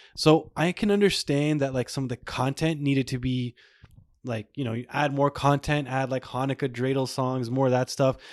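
A man's plain, everyday voice at medium pitch and moderate pace, with fairly even intonation, in a dry, close sound with no echo on a very clean recording with a silent background. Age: 30s. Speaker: podcast host. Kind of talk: casual chat.

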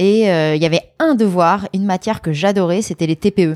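An ordinary speaking voice with ordinary pitch variation. The sound is dry and close, with no echo. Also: woman. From France, Lyon. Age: 30s. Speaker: former student activist. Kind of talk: interview. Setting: at her home.

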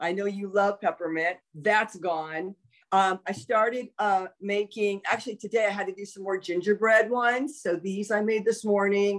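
A woman speaks at a moderate pace with an American accent. Hers is an ordinary speaking voice. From Los Angeles, California. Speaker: former pro wrestler and soap maker. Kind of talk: casual chat.

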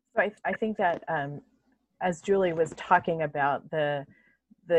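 A woman's very deep, low-pitched voice with fairly even intonation. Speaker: center director and parent scholar. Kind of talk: casual panel discussion. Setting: home video call.

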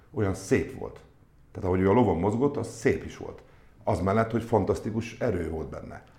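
A man speaks at a medium pitch in a dark, mellow tone that is somewhat breathy. His loudness swings widely, and audible room echo is present. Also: ordinary pitch variation. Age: 50s. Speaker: sports club executive. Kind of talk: interview. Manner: halting.

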